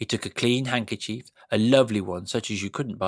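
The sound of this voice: The voice reads in an unforced way, and its pitch varies in an ordinary manner.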